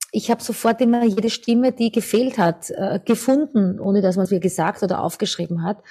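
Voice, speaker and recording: At a fairly quick pace and with hardly any pauses, a woman with a dark, mellow, somewhat breathy tone speaks at medium pitch with ordinary pitch variation and very even loudness. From Austria, Lower Austria (near St. Pölten). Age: 50s. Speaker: singer and vocal coach. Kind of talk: interview.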